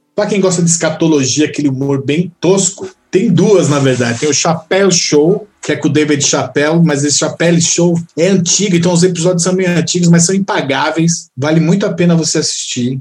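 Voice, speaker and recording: A man speaks at a high pitch and a moderate pace with ordinary pitch variation and hardly any pauses. His loudness stays very even over music in the background. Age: 40s. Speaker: rock guitarist and songwriter. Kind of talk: casual chat.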